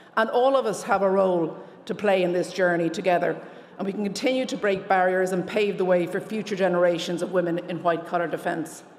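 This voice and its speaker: A woman with an Irish accent at a very fast pace and medium pitch, fairly even intonation, audible room echo and noticeable background noise. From Ireland. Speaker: lawyer, award recipient. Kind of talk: award acceptance speech.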